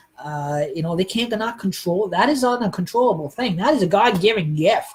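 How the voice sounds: A man's fairly quick, lively speech with a slightly husky edge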